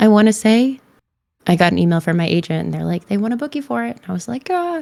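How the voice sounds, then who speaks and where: A woman talks quietly at a very fast pace, with big swings in loudness. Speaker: voice and mocap actor. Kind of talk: casual interview chat.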